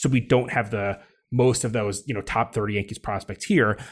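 The recording is very clean, with a silent background, and a man speaks in an ordinary speaking voice. His pitch is fairly low, his intonation fairly even and his pace moderate. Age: 40s. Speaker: podcast host, magazine editor. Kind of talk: casual interview. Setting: on location at a ballpark.

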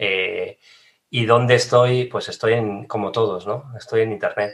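A man speaks in a normal speaking voice at medium pitch. His pace is fairly slow and his intonation fairly even. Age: 40s. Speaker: digital marketing trainer. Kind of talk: casual interview.

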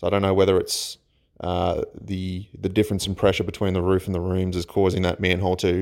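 A man with an Australian accent, very deep and low in pitch, at a fairly quick pace in a monotone, flat intonation, on a very clean recording with a silent background. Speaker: listener sharing ghost stories. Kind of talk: recorded personal story. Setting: self-recorded voice memo. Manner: halting.

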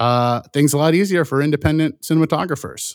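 With an American accent, a man talks at a fairly quick pace in a plain, everyday voice, his pitch varying in an ordinary way, on a very clean, dry, close recording with a silent background and no echo. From US Midwest (Indiana, Michigan). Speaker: film director. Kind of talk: casual interview.

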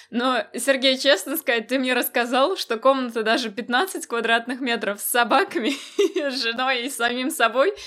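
A woman's high-pitched voice, bright and sharp in tone, with lively intonation at a moderate pace. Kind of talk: casual chat.

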